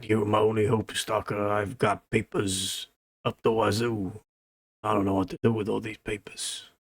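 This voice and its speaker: A man puts on a raspy character voice at a fairly low pitch, speaking at a moderate pace. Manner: pleading, frazzled.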